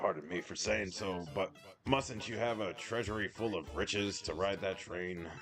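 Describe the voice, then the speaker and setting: With clear music in the background, a man puts on a raspy character voice at a fairly low pitch and a moderate pace. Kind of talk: upper-class British affectation. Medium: game stream. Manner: prim, old-fashioned polite.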